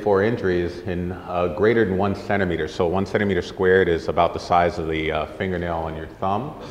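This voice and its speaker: Amid noticeable background noise and audible room echo, a man speaks with a very deep, low pitch and fairly even intonation. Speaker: orthopedic surgeon. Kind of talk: lecture. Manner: fast; soft-spoken.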